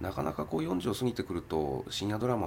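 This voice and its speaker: A man's very deep, low voice shows vocal fry and very wide pitch swings. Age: 40s. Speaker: film producer. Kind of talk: interview.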